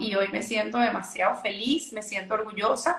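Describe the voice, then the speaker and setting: This woman speaks with a Venezuelan accent. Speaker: essential oils entrepreneur. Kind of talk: interview.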